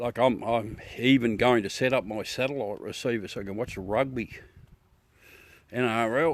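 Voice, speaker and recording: With a strong Australian accent, a man talks in a relaxed tone at a medium pitch, a moderate pace and fairly even intonation. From South Australia. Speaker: amateur astronomy livestreamer. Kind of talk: casual live stream chat. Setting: outdoors at night with telescope. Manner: chatty, relaxed.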